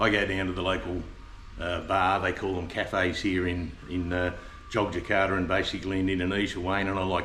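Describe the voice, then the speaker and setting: Very fast speech with an Australian accent, monotone and flat in intonation, with audible room echo and noticeable background noise. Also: man. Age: 70s. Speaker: expat retiree. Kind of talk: casual interview. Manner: halting, many fillers.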